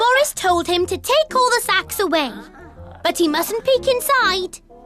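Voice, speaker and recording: With clear music in the background, a female-sounding cartoonish character voice at an extremely high pitch speaks at a moderate pace. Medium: puppet. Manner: playful.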